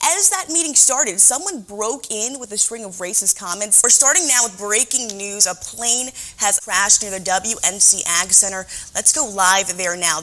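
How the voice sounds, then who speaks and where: Over music in the background, a woman with an American accent speaks at a medium pitch with lively intonation. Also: moderate pace. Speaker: TV news reporter and anchor. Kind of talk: news anchor desk read. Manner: measured, clear.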